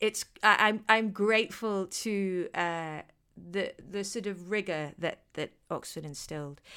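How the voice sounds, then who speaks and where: A woman speaks with a British accent in a bright, sharp tone. Her pitch varies in an ordinary way on a very clean recording with a silent background. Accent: British English, educated. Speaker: actor. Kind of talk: casual interview chat.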